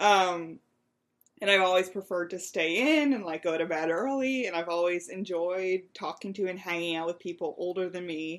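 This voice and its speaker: A woman's normal speaking voice in an American accent, medium-pitched with ordinary pitch variation, at a moderate pace over a quiet background. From Western Pennsylvania, near Ohio border. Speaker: nonprofit co-founder, digital content manager. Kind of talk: casual interview chat.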